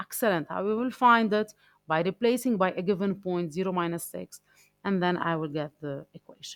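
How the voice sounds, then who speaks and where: Music sits in the background as a woman speaks at a moderate pace. Her pitch swings very widely in a dry, close sound with no echo. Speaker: math teacher. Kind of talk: lecture. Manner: halting.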